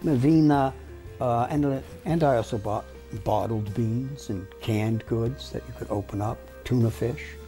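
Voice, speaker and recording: Music plays in the background as a man speaks at a moderate pace. His fairly low voice moves through very wide pitch swings. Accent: American. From New York. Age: 70s. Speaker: lawyer and law lecturer. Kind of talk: interview answer.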